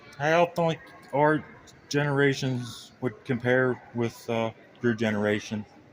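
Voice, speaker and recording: A man with an American accent talks at a fairly slow pace and a medium pitch, with ordinary pitch variation. Noticeable background noise runs under his voice. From Pittsburgh area, Pennsylvania. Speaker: interviewer of veterans. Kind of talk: casual interview.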